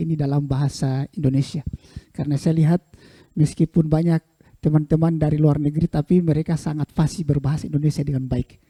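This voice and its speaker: A man with a fairly high pitch and a dark, mellow tone talks at a very fast pace. His intonation is monotone and flat, and the sound is dry and close with no echo. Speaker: keynote speaker, researcher. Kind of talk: lecture.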